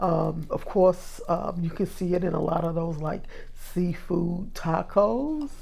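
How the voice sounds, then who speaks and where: Very slow speech from a woman amid audible room echo. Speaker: cooking video host. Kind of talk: cooking tutorial. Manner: casual, filler-heavy.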